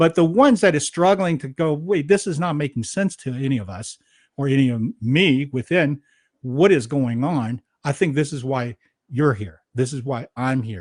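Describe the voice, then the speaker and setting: A normal speaking voice with lively intonation at a moderate pace, in a dry, close sound with no echo over a quiet background. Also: man, fairly high pitch for a man. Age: 60s. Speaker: podcast host. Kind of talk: interview conversation.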